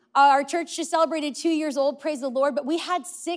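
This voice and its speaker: This woman has a high pitch. She speaks in an American accent. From California. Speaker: pastor. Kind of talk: sermon. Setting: church.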